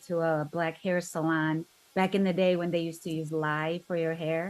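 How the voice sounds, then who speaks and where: Spoken in a Korean accent, the words come at a moderate pace with monotone, flat intonation. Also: woman. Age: 50s. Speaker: interview guest sharing life story. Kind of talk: podcast interview.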